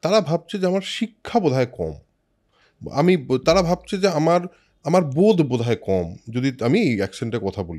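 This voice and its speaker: A man speaks with very wide pitch swings and a dark, mellow tone, his pitch fairly high. The recording is very clean, with a silent background. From Kolkata.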